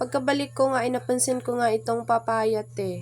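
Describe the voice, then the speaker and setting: With music in the background, a woman talks at a moderate speed. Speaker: vlogger. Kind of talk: vlog narration. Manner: casual, chatty.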